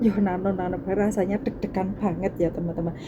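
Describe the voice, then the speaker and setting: The speaker's intonation is monotone and flat, with noticeable background noise. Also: woman. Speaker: domestic worker vlogger. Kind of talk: casual vlog talk. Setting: laundry area at employer's home. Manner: soft-spoken.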